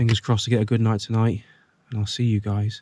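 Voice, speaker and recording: Quiet and very fast, a man with an English accent speaks at medium pitch in a dry, close sound with no echo. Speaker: vlogger. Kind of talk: vlog narration. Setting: inside a car.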